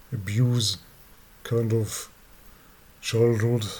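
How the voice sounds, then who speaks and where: Speaking with a non-native accent, a man uses a fairly low pitch and a monotone, flat intonation. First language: not English. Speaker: abuse survivor vlogger. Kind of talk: personal testimony. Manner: halting, many fillers and repeats.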